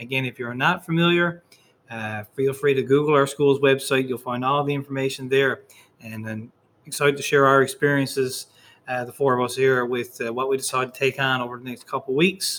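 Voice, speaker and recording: A man with a Newfoundland accent talks at a fairly quick pace, using a medium pitch and fairly even intonation. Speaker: high school teacher. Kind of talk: school podcast chat. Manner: fast talker.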